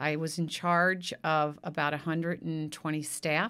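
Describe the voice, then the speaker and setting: Recorded very cleanly against a silent background, a woman speaks with an American accent at a fairly low pitch. Her tone is bright and sharp, and her pace is fairly slow. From US Midwest. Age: 60s. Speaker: city council candidate. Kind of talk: casual interview.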